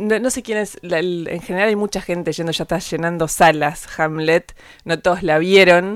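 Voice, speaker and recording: Music plays in the background. The speaker has an Argentine accent, fairly even intonation and a moderate pace. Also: woman, fairly low pitch for a woman. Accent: Rioplatense Argentine Spanish. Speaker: podcast host and interviewer. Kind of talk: interview.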